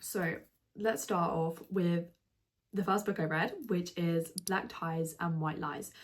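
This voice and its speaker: Her pace is fairly slow. The woman's voice has a somewhat breathy quality. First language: not English. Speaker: book reviewer. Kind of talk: casual vlog review. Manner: animated; fillers and self-corrections.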